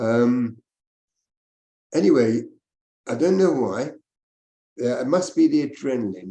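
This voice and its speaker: A man with a dark, mellow tone at medium pitch talks at a fairly slow pace with lively intonation and long, frequent pauses. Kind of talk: interview. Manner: loud.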